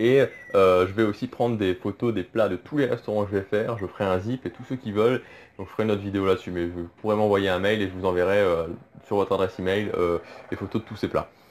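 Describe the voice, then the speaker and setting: Fairly low in pitch, a man rattles along at a very fast pace with fairly even intonation. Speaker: Disney travel YouTuber. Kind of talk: casual vlog talk. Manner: hesitant, many fillers.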